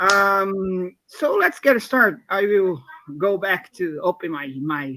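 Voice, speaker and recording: With a Brazilian Portuguese accent, a man projects a raised voice at a high pitch, speaking very slowly with lively intonation. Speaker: software developer, open source mentor. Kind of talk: live coding stream. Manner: halting.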